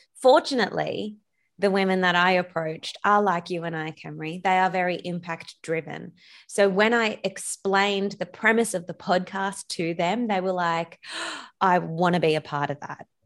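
Recorded very cleanly against a silent background, the speaker talks at a moderate pace with an Australian accent. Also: woman, medium pitch for a woman. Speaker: business coach and podcaster. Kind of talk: casual interview chat. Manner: energetic.

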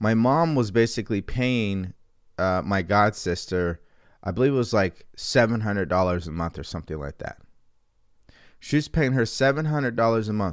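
A man with a normal speaking voice talks at a fairly low pitch with lively intonation. The recording is very clean with a silent background. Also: moderate pace. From California. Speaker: mindset coach. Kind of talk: livestream talk.

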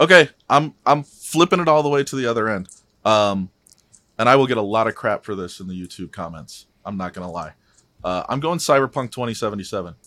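A man with an American accent, bright and sharp in tone, with very wide pitch swings and big swings in loudness, on a very clean recording with a silent background. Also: medium pitch for a man, fairly quick pace, dry, close sound with no echo. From US Midwest. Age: 30s. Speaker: guest, father. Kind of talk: casual chat.

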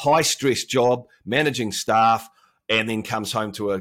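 A man speaks in a New Zealand accent at a fairly low pitch with ordinary variation. The recording is very clean, with a silent background. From New Zealand, Auckland. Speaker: health coach and former broadcaster. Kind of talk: casual chat.

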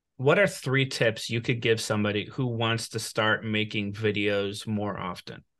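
A plain, everyday voice from a man at a medium pitch, moderate pace and hardly any pauses. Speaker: podcast host. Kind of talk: interview.

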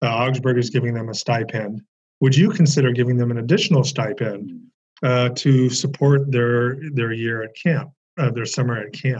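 Somewhat breathy, this voice keeps a moderate pace and ordinary variation in pitch. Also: man, medium pitch for a man. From California, Bay Area. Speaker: religion professor. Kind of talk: interview conversation. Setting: video call.

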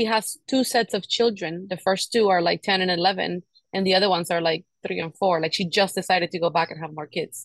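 A woman at a fairly quick pace with ordinary pitch variation, dry and close with no echo. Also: medium pitch for a woman. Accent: Spanish. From Cuba. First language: Spanish. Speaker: podcast host. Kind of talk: casual chat.

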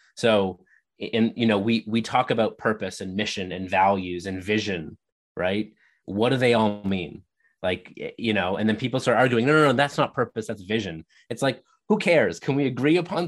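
With a Canadian accent, a man speaks at a fairly low pitch and a fairly quick pace, using lively intonation over a quiet background. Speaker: leadership speaker and author. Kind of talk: interview. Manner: articulate.

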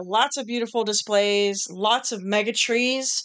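Over a quiet background, a woman talks at a fairly slow pace. She has an ordinary speaking voice at a medium pitch. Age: 40s. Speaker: podcast co-host. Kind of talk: casual chat.

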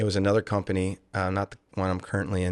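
Speaking very fast with a Louisiana accent, a man with a fairly low pitch is recorded with a dry, close sound with no echo against a quiet background. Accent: Southern US (Louisiana). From Louisiana, Lake Charles. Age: 40s. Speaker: business owner, former state policeman. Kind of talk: interview.

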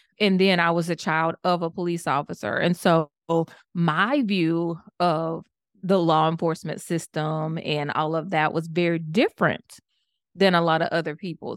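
Recorded very cleanly against a silent background, with a dry, close sound and no echo, a woman with a Southern US accent speaks at a moderate pace in a fairly low pitch with fairly even intonation. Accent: Southern American. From US South, Georgia. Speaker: public health professor and network marketer. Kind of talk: interview conversation.

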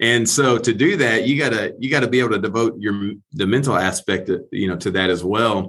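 A man with a plain, everyday voice talks at a fairly quick pace in a medium pitch, using ordinary pitch variation and hardly any pauses. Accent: American. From Texas. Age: 40s. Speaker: former pro football player. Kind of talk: interview conversation.

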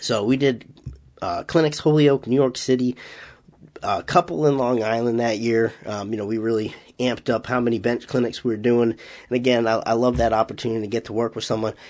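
A man with a slight Boston accent talks at a fairly quick pace, his medium-pitched voice keeping a fairly even intonation. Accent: slight Massachusetts, Boston-like. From Massachusetts, US. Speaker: powerlifting coach and podcast host. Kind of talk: solo podcast recap.

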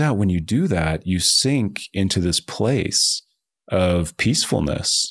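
A man with an American accent and a normal speaking voice, fairly low in pitch, at a fairly slow pace, on a very clean recording with a silent background. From New Jersey. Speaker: author and venture capitalist. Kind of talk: interview.

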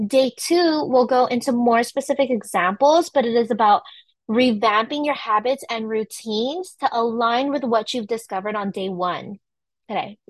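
The voice has an animated tone with ordinary pitch variation. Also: woman. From California, San Francisco Bay Area. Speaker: wellness coach. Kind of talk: online workshop presentation. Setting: livestreamed video recording.

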